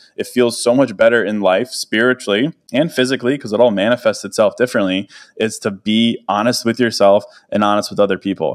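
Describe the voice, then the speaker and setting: Recorded very cleanly against a silent background, with a dry, close sound and no echo, a man with a normal speaking voice talks at a fairly quick pace, medium pitch and ordinary pitch variation. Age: 30s. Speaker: podcaster and writer. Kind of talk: casual interview chat.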